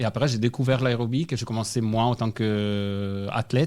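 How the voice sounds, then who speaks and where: Fairly even intonation with a slight Italian accent. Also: man. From Italy. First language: Italian (speaking French). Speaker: national aerobic gymnastics coach. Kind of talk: radio interview.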